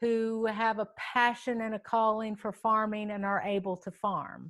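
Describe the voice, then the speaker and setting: In an American accent, a woman speaks very slowly at a fairly high pitch. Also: quiet background. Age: 60s. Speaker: farm advocate, nonprofit director. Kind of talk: panel conversation. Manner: halting, many fillers.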